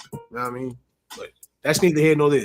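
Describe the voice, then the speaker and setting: Music plays in the background. The speaker has a New York accent and a monotone, flat intonation. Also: man. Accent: New York City. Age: 30s. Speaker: rapper and show co-host. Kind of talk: casual chat.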